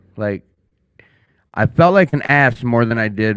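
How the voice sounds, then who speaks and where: An animated man with an American accent speaks at a medium pitch. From Minnesota. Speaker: podcast host. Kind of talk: casual chat. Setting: studio.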